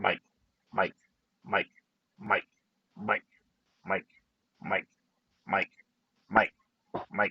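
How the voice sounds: A man uses a put-on character voice at medium pitch. He speaks at a very slow pace, with long, frequent pauses.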